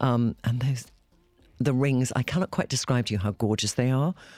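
A man speaks very fast at a medium pitch, with ordinary pitch variation and long, frequent pauses. The sound is dry and close with no echo, and music plays in the background. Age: 50s. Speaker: podcast host. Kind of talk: casual chat.

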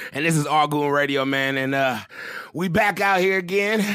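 A man keeps a moderate pace and ordinary pitch variation while noticeable noise sounds in the background. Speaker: podcast host. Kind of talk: casual banter, hip-hop podcast chat.

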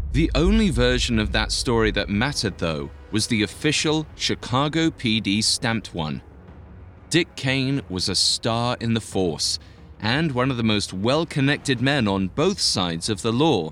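A man with a medium pitch speaks at a fairly slow pace in a dramatic tone, with vocal fry. His pitch swings very widely. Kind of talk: true-crime narration. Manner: measured, dramatic storytelling tone; crisp, suspenseful delivery.

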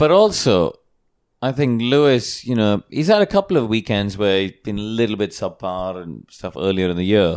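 On a very clean recording with a silent background, a man uses an unremarkable speaking voice, fairly low in pitch with ordinary variation, at a moderate pace. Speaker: TV motorsport presenter and racing driver. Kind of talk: casual panel discussion. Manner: jokey, good-natured banter.

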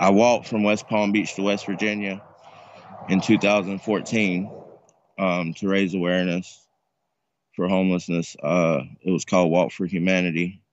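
A man talks at a moderate pace in a very deep, low voice with monotone, flat intonation. He leaves long, frequent pauses. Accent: American. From North Carolina. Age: 40s. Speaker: homeless man sharing his story. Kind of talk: interview.

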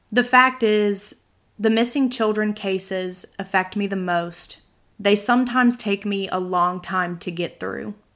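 A woman has a plain, everyday voice at a medium pitch, speaking at a fairly slow pace with fairly even intonation. The recording is very clean, with a silent background. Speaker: true crime podcast host. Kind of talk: scripted narration of true crime cases.

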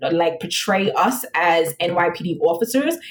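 A woman speaks with an American accent at medium pitch. Her voice is somewhat breathy. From New York City, the Bronx. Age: 30s. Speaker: police lieutenant, recruiter. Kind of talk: casual interview.

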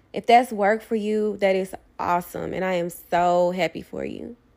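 A plain, everyday voice from a woman at medium pitch, with a moderate pace, fairly even intonation, and a very clean recording with a silent background. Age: 20s. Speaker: podcast host and poet. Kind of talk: casual monologue.

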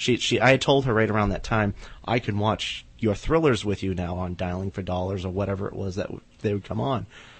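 At a fairly quick pace, the speaker sounds somewhat breathy, with ordinary pitch variation. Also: man, fairly low pitch for a man. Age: 30s. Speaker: horror writer. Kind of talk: casual chat. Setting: studio.

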